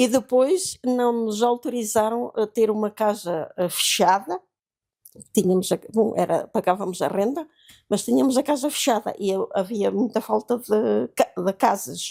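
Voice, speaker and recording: A woman with a fairly high pitch and a dark, mellow tone talks at a fairly slow pace with lively intonation, the sound dry and close with no echo. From Portugal, Beira Interior (Malpique, near Belmonte). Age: 80s+. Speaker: seamstress, interviewee recalling 1974 revolution. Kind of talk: oral history interview. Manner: halting, many hesitations and repetitions.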